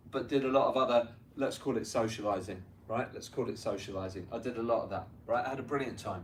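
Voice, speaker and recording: A man with a London accent talks at a very fast pace, his medium pitch showing ordinary variation. Noticeable background noise and audible room echo sit behind him. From North London, England. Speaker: tennis coach and business owner speaking to students. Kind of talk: motivational talk to students. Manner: conversational, frequent 'right?' tags.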